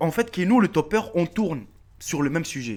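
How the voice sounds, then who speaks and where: A man speaks at a fairly slow pace in an animated tone, his pitch swinging very widely. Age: 30s. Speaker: YouTuber. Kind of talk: casual vlog address to subscribers. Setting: face-camera video.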